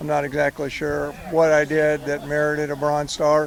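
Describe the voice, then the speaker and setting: There is noticeable background noise behind this man. His pitch is fairly high. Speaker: war veteran. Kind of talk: testimony. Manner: halting.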